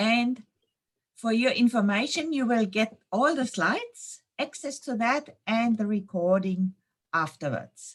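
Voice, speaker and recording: Somewhat breathy and fairly high-pitched, a woman speaks fairly slowly with lively intonation. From Germany, Munich. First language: German. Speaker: intuition trainer and yoga teacher. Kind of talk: webinar presentation; guided meditation. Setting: online webinar. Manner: slow, calm.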